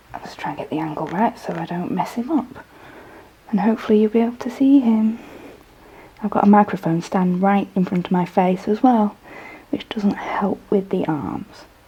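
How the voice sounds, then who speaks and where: The speaker's loudness swings widely at a moderate pace, with noticeable background noise behind. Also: woman, medium pitch for a woman, ordinary pitch variation. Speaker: model horse customizer, artist. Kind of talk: tutorial. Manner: hesitant, many fillers.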